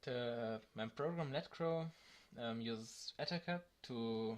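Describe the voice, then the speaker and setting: Speaking with a non-native accent, a man uses a medium pitch with ordinary variation. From Germany. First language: German. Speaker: tech tutorial youtuber. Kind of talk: tutorial. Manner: halting, many fillers.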